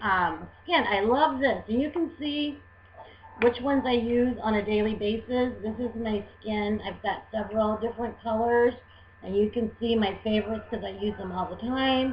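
A somewhat breathy, fairly high female voice at a moderate pace with ordinary pitch variation. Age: 40s. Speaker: beauty vlogger. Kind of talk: tutorial. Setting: webcam recording at home. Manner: halting.

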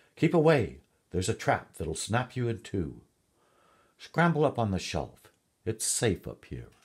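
On a very clean recording with a silent background, a man does a squeaky put-on character voice at a medium pitch, swinging very widely in pitch at a moderate pace with long, frequent pauses. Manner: urgent, warning.

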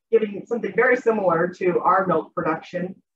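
A woman at a fairly quick pace with ordinary pitch variation, over noticeable background noise. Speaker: academic conference presenter. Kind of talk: academic presentation, casual phrasing. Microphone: video call.

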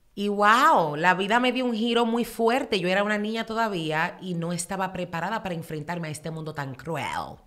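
Animated and lively in intonation, a woman talks at a fairly quick pace with hardly any pauses. The background is quiet. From Dominican Republic, raised in New York from age 10-12. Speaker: social media influencer. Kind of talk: casual interview. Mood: emotional personal storytelling. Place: studio. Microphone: studio mic.

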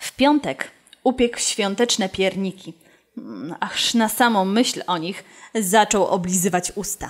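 A woman talks at a very slow pace with ordinary pitch variation and big swings in loudness. The background is quiet. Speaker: storyteller. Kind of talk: storytelling read-aloud. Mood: warm, expressive, animated. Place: studio. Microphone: studio mic.

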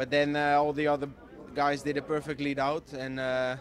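A man at a moderate pace, with light background noise and a dry sound with no echo. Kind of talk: interview answer. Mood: happy, relaxed after win. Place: street. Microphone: handheld.

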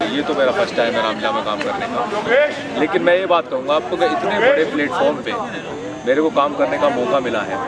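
Moderate in pace, a man is speaking. Loud noise fills the background. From Bulandshahr, Uttar Pradesh, India. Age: 30s. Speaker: theatre actor. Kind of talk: interview answer. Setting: outdoors. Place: open country.

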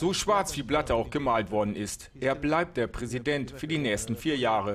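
Using an ordinary speaking voice with lively intonation, a man speaks at medium pitch and a moderate pace. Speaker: news reporter / narrator. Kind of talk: TV sports news report voice-over.

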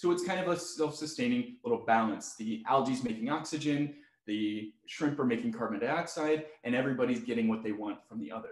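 Talking at a fairly quick pace with hardly any pauses, a man is heard with audible room echo against a quiet background. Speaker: zoo educator. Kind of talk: webinar tutorial. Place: home room.

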